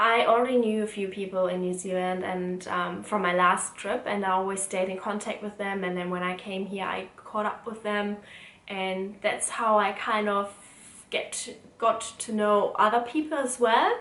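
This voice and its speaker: There is audible room echo and noticeable background noise. A woman with a German accent speaks at a medium pitch and a fairly slow pace, her intonation fairly even. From Germany. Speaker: student and vlogger. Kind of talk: casual Q&A vlog.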